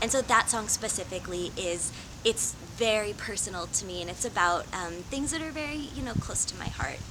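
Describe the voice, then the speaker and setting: A woman talks at a moderate pace with ordinary pitch variation against noticeable background noise. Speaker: singer-songwriter and cosplayer. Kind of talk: interview monologue. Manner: frequent fillers.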